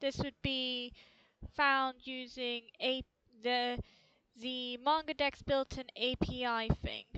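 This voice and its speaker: Very slow and raised, the projected voice has a bright, sharp tone in a dry, close sound with no echo. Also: woman. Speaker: hobby programmer. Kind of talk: tutorial. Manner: halting.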